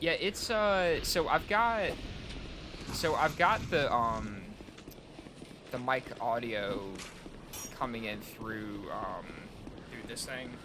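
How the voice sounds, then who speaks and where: At a very slow pace with long, frequent pauses, a man of medium pitch shows very wide pitch swings and big swings in loudness, amid audible room echo and noticeable background noise. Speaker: gaming streamer. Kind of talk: casual chat. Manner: soft-spoken; halting.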